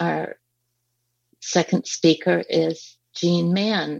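A woman speaks at a very slow pace, with a dry, close sound and no echo. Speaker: panel moderator, advocacy group co-chair. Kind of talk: moderated panel discussion. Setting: video conference call. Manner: hesitant, many fillers.

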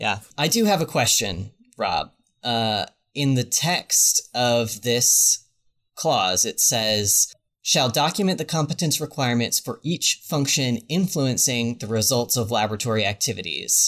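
Over a silent background in a very clean recording, a man with a plain, everyday voice speaks fairly slowly at a medium pitch with lively intonation. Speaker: podcast host. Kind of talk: casual interview chat.

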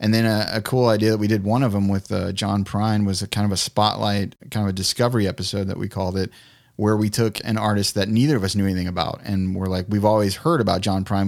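On a very clean recording with a silent background, a man talks at a very fast pace with a fairly low pitch and monotone, flat intonation. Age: 40s. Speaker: music podcast co-host. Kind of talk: casual interview chat.

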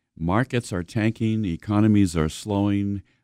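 A man speaks at a moderate pace with fairly even intonation and a dark, mellow tone. His pitch is fairly low, and the sound is dry and close with no echo against a quiet background. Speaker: financial radio show host. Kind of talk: radio talk show. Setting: radio studio.

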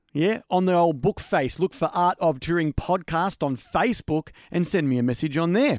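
A man with an Australian accent speaks at a moderate pace with a high pitch and lively intonation. The recording is very clean and silent behind him, with a dry, close sound and no echo. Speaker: podcast host. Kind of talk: casual interview chat; podcast outro. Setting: home studio.

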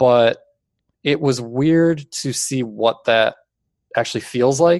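Against a quiet background, the voice sounds dry and close with no echo, its intonation fairly even. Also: man. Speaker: skate video maker. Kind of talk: casual interview. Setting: video call. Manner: monotone.

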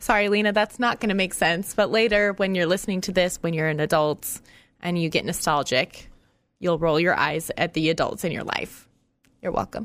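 A woman with fairly low pitch and ordinary pitch variation talks at a moderate pace on a very clean recording with a silent background. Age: 30s. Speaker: podcast host. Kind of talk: casual chat. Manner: animated.

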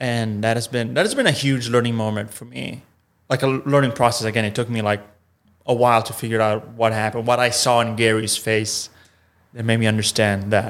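Fairly quick and monotone, a man with an Italian accent talks at a medium pitch with flat intonation. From Italy. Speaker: improv performer. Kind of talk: casual interview chat. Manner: halting, searching for words.

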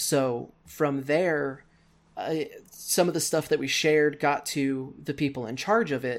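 In a very clean recording with a silent background, a man with an American accent and a normal speaking voice talks at a fairly high pitch and a fairly slow pace. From Missouri, US Midwest. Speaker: wrestling commentator and podcaster. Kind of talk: casual chat.

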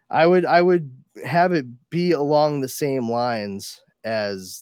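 Recorded with a dry, close sound and no echo, a man is talking. His pitch variation is ordinary. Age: 40s. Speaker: podcast host. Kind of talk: casual chat. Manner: animated.

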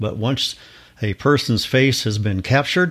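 A man speaks with a Midwestern American accent at medium pitch. His pace is moderate and his pitch varies an ordinary amount. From Kansas. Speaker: listener contributor. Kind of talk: recorded voice message.

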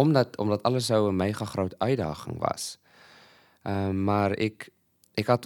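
The sound is dry and close with no echo as a man talks at a fairly slow pace. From Malawi, South African parents. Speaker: lecturer and food security project developer. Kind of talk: casual interview. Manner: halting, many fillers and repeats.

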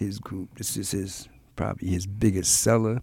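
Pitch shifts in an ordinary way while the delivery stays fairly slow. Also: man. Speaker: jazz podcast host. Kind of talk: podcast hosting with music commentary. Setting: studio.

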